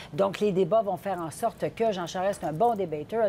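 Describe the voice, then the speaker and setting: A woman with a Quebec accent speaks at a fairly quick pace, her tone dark and mellow. Her pitch varies in an ordinary way, and there is light background noise. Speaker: political commentator. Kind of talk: panel discussion. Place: studio. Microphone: lapel.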